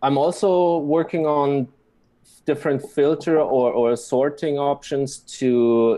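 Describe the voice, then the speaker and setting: Very slowly and at very even loudness, a man with a German accent speaks in a fairly high pitch with fairly even intonation. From Germany. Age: 20s. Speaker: blockchain website developer. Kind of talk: interview. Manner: halting.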